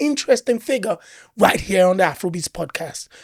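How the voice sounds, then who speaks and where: A woman talks in a plain, everyday voice at a medium pitch with lively intonation. The sound is dry and close, with no echo. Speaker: podcast host. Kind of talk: podcast interview host.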